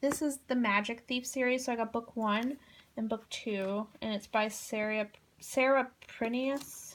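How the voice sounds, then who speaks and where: A woman's normal speaking voice, fairly high in pitch, with fairly even intonation and a fairly slow pace, on a very clean recording with a silent background. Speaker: book vlogger. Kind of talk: casual chat.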